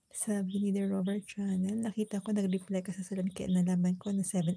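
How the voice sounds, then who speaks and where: Soft-spoken and somewhat breathy, a woman talks at a fairly quick pace with a dark, mellow tone, a medium pitch and monotone, flat intonation. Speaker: cooking and lifestyle livestreamer. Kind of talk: casual livestream chat. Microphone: voice may be too quiet.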